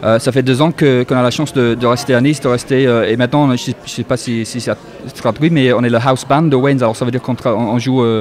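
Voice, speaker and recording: Over noticeable background noise, a man with a strong English accent talks at a very fast pace and a medium pitch. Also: fairly even intonation. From northern England, Yorkshire. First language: English (speaking French). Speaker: musician, pianist. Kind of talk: radio interview. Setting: live radio show at a club with audience. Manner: halting, many hesitations.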